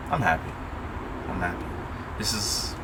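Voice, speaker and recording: Mumbling from a man at a moderate pace, with noticeable background noise and audible room echo. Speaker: car enthusiast vlogger. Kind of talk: casual unboxing vlog. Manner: rambling, mumbling.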